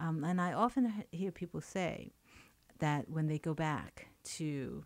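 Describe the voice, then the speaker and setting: A woman's very deep, low voice with a Chinese accent, on a very clean recording with a silent background. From China and Hong Kong, moved to New York. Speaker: poet and writer. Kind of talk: radio interview. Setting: radio studio. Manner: halting, many fillers.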